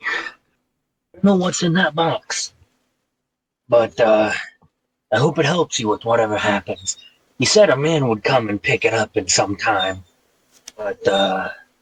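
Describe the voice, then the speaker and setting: A man puts on a character voice at a medium pitch. He leaves long, frequent pauses. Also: moderate pace. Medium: actual play. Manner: rambling, hesitant.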